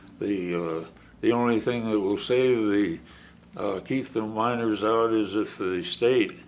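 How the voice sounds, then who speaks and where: Fairly low-pitched man with an American accent, fairly slow pace and ordinary pitch variation, plus audible room echo. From US West, Oregon. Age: 80s+. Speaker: wild horse sanctuary founder. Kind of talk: interview. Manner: halting, many restarts.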